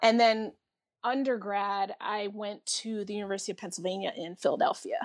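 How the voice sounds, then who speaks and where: In a quiet background, a woman with an American accent and an unremarkable speaking voice talks fairly quickly at medium pitch, with ordinary pitch variation and big swings in loudness. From New York area (Bronx-born, raised Bridgeport, Connecticut). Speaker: post-production worker. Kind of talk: casual chat.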